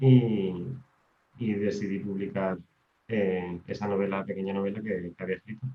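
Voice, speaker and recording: A man's fairly low voice at a moderate pace, with fairly even intonation and long, frequent pauses. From Canary Islands, Tenerife. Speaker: maths teacher and writer. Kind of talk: podcast interview. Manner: hesitant, repeats words.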